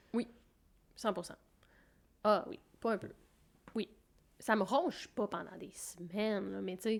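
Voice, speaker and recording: Speaking at a fairly slow pace with long, frequent pauses, a woman uses vocal fry at a medium pitch, her pitch varying in an ordinary way while her loudness swings widely. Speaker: podcast co-host. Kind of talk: casual chat.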